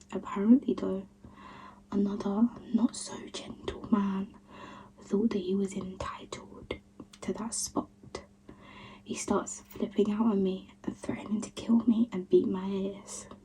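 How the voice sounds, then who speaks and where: Speech comes at a fairly slow pace with long, frequent pauses amid noticeable background noise. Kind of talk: ASMR reading of creepy online stories. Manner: whispered, soft ASMR delivery.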